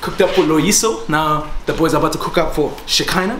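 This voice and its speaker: Noticeable background noise sits behind the recording. A man speaks over it at a fairly quick pace. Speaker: vlogger giving house tour. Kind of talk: casual vlog chat. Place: home room.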